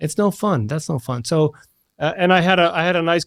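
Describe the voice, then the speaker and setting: A man with an American accent and an unremarkable speaking voice, lively intonation and a fairly quick pace. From Washington DC, US. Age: 40s. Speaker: engineering innovation lead. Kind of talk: podcast interview.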